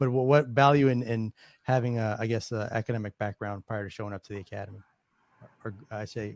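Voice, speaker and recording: With a fairly low pitch and fairly even intonation, a man speaks at a fairly quick pace. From New York, the Bronx. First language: Spanish. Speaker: alumni chapter president, moderator. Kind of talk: moderating Q&A panel. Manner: halting, many fillers and restarts.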